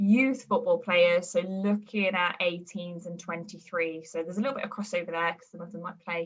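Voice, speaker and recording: A woman talks at a fairly quick pace, her fairly low voice keeping a fairly even intonation. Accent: Birmingham. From England, Birmingham area. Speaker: performance nutritionist. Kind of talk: podcast interview. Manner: hesitant, many fillers.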